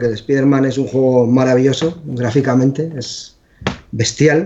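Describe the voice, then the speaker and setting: A man with a fairly high voice talks at a fairly slow pace in an ordinary speaking voice. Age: 40s. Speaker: video game developer. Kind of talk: casual chat.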